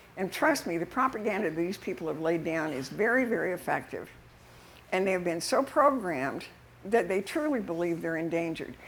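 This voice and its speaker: Here a woman is speaking. She has an American accent. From Utah. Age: 80s+. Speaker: activist speaker. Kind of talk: public talk. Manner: halting.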